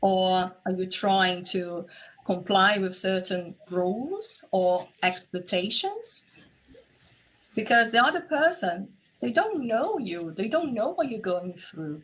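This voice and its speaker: A woman speaks at a very slow pace in a Portuguese accent. Her pitch is medium and her intonation lively. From Brazil. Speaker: relationship and intimacy coach. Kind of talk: interview conversation.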